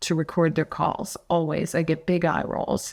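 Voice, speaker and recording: A woman uses a normal speaking voice at a fairly low pitch and fairly slow pace on a very clean recording with a silent background. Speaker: sales phone trainer. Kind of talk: podcast interview.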